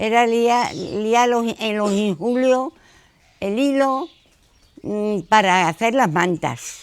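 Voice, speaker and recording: The woman's voice is fairly high in pitch. It varies in pitch in an ordinary way. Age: 80s+. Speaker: retired factory worker. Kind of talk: interview answers to children. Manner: halting.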